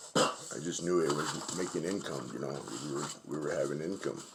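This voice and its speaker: A man with a very deep, low pitch talks at a fairly quick pace with ordinary pitch variation, amid audible room echo and noticeable background noise. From Navajo Nation, New Mexico. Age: 50s. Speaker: sand artist. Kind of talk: casual demonstration livestream. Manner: relaxed, conversational.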